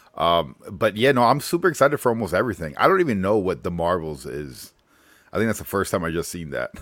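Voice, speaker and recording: A man talks at a very fast pace in a very deep, low pitch. His voice swings very widely in pitch and carries vocal fry. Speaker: guest co-host comics fan. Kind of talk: casual chat.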